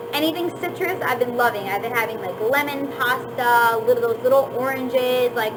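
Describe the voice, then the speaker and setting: With audible room echo and noticeable background noise, a woman speaks at a fairly quick pace in a high pitch with ordinary pitch variation. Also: hardly any pauses. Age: 20s. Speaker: vlogger. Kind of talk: casual chat. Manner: casual, filler-heavy.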